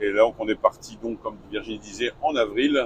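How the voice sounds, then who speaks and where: The intonation stays fairly even while the words come at a very slow pace. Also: man. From northern France, Lille. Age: 60s. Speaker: retired truck driver, travel vlogger. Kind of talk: casual chat.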